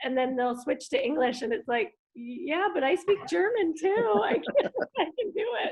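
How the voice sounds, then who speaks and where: Using an American accent, a woman speaks at a high pitch and a moderate pace. Her pitch swings very widely. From United States. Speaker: family member. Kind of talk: casual chat. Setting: video call.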